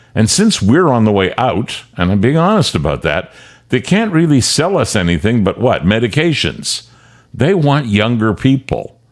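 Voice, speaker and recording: A man with a Canadian accent at a medium pitch, moderate pace, very wide pitch swings, vocal fry and very even loudness, on a very clean recording with a silent background. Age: 70s. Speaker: commentary show host, veteran broadcaster. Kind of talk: opinion commentary monologue.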